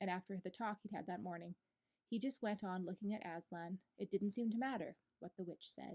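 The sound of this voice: Over a quiet background, an unforced reading voice carries ordinary pitch variation.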